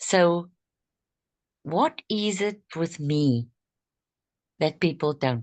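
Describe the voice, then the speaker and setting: Against a quiet background, a woman with a fairly low pitch talks at a very slow pace with lively intonation and long, frequent pauses. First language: not English. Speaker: network marketing distributor. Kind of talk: group training discussion. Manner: halting.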